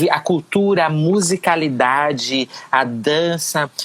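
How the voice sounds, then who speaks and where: A woman speaks with a very deep, low pitch. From Pernambuco, Brazil. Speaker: educator and politician. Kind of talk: interview answer.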